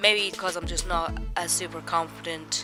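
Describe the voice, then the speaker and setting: Background music accompanies a woman as she talks. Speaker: illustrator. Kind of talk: casual voice-over for drawing video.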